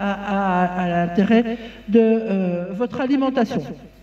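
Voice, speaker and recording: The woman's voice is somewhat breathy, with a dark, mellow tone. Her pitch varies in an ordinary way. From Belgium. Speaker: farmer and farm union representative. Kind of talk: conference talk. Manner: halting, many fillers and repetitions.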